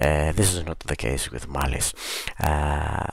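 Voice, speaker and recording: On a very clean recording with a silent background, a man with a non-native accent speaks at a fairly slow pace, very deep and low in pitch, with fairly even intonation. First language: not English. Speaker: book reviewer. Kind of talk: book review video podcast. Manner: hesitant, many fillers.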